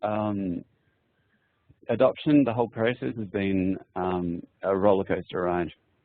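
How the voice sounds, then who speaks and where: A fairly slow-paced man with an Australian accent and a fairly low pitch. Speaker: adoptive parent. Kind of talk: personal testimony in a webinar.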